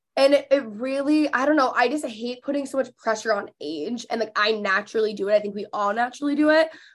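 Words pour out at a very fast pace with hardly any pauses. The intonation is lively. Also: woman, high pitch for a woman. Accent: American. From Texas (McKinney, Dallas area). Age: 20s. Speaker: podcast host and influencer. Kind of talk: casual interview chat.

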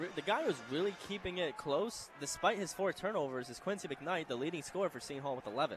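A man's high-pitched voice at a fairly quick pace, lively in intonation and with hardly any pauses, against noticeable background noise. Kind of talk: live commentary, color analysis. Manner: analytical, conversational, occasionally stumbling.

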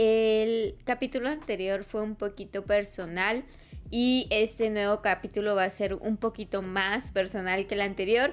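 Speaking at a fairly slow pace, a woman keeps her intonation fairly even and her pitch fairly high. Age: 20s. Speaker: podcast host. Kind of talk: personal monologue. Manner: halting.

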